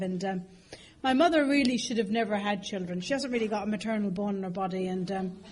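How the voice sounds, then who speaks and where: With an Irish accent, a woman speaks at a fairly high pitch with ordinary pitch variation, and audible room echo surrounds her voice. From Ireland, moved to London as a child. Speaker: AA speaker. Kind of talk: recovery testimony talk with humor. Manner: chatty, many fillers.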